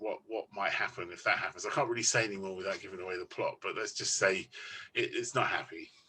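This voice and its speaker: A man speaks in a London accent. His pace is fairly quick. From London, England. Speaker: author. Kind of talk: interview. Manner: casual, rambling with fillers.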